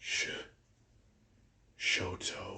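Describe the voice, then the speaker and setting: A man whispers in a put-on character voice. The whisper is raspy. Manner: whispery.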